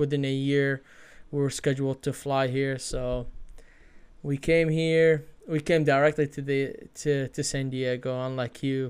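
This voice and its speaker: A man with a fairly high voice speaks in a flat monotone at a moderate pace. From Iraq. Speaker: podcast host. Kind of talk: casual chat.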